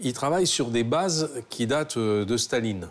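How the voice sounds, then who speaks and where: A man's medium-pitched voice moves with lively intonation. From Normandy, France. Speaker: restaurant owner. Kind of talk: casual chat.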